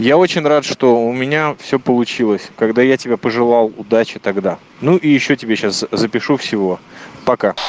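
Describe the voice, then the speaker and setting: A man with an ordinary speaking voice, medium pitch, ordinary pitch variation, very even loudness and a moderate pace, in a dry, close sound with no echo. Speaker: podcaster. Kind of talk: voice message monologue. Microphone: smartphone.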